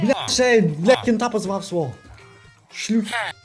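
Over music in the background, the speaker talks at a very slow pace with lively intonation. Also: man. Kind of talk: casual gaming commentary. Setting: low-quality microphone.

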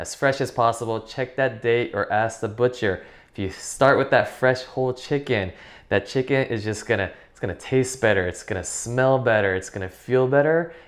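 The background is quiet. A man talks at a moderate pace with fairly even intonation. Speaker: cooking instructor. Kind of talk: tutorial. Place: kitchen.

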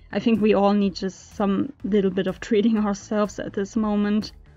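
Moderate-paced speech with a non-native accent over music in the background. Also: woman. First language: not English. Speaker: video game content creator. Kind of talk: casual voiceover for a game build video. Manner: casual, hesitant with fillers.

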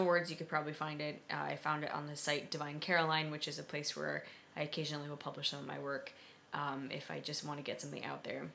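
A woman with an American accent talks very fast in a very deep, low pitch with a bright, sharp tone, over light background noise. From US Northeast, Philadelphia. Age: 20s. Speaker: vlogger and blogger; vlogger, blogger. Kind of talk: casual vlog monologue. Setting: at home, late at night. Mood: concerned, earnest. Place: kitchen. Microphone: webcam.

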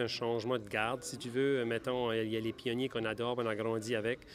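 There is light background noise as a man talks at a moderate pace. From Acadia, New Brunswick. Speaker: country singer-songwriter. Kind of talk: interview. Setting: awards gala. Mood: grateful, upbeat. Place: hall. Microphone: handheld.

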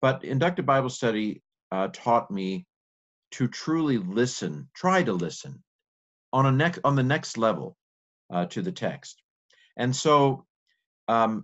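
Against a quiet background, the words unfold fairly slowly. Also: man. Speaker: bible teacher. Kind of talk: lecture. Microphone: webcam.

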